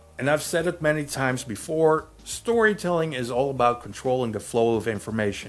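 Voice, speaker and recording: A man at medium pitch speaks with lively intonation and hardly any pauses, against noticeable background noise. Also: fairly quick pace. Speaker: movie reviewer. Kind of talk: film review monologue. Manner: casual, jokey.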